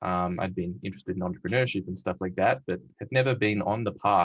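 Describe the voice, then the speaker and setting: A man with an Australian accent and a very deep, low pitch talks at a very fast pace, with ordinary pitch variation. The sound is dry and close, with no echo. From Western Australia. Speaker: tech company CEO and panel host. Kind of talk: recorded panel conversation. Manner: hesitant, many fillers.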